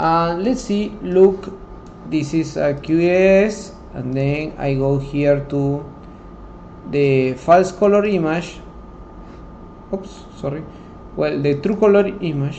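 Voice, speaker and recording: A man with a non-native accent and a fairly high pitch speaks at a very slow pace with long, frequent pauses and ordinary pitch variation, amid noticeable background noise and audible room echo. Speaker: software tutorial instructor. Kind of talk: tutorial. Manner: halting.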